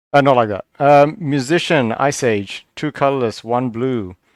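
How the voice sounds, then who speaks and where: A man speaks at a medium pitch with ordinary pitch variation and a moderate pace. The sound is dry and close with no echo, on a very clean recording with a silent background. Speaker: card game video reviewer. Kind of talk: casual solo review commentary. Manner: quiet; tongue-tied, halting.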